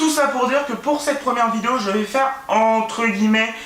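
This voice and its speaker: A man uses a raised, projected voice at a high pitch. Audible room echo and noticeable background noise fill the recording. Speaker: booktuber. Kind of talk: casual vlog monologue. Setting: at home, filming by his bed. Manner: hesitant, many fillers and repetitions.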